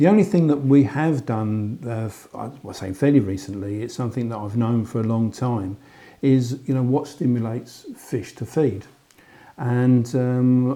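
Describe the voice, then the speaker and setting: A man's dark, mellow tone with a London accent, moderate pace, and ordinary pitch variation. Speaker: angler. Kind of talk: interview. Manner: hesitant fillers.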